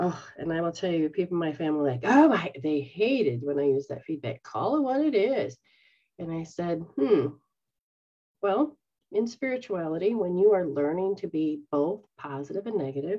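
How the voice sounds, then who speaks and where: A woman's fairly low voice at a moderate pace, against a quiet background. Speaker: spiritual teacher. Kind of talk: casual teaching talk. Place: home room. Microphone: webcam.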